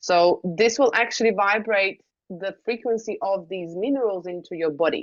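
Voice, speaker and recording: A woman with a non-native accent and ordinary pitch variation. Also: medium pitch for a woman, moderate pace. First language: not English. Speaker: wellness device trainer. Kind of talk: online training session. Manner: casual with frequent fillers.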